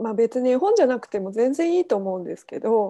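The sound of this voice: Fast and full of big pitch swings, a woman's voice sits fairly high. Her tone is dark and mellow.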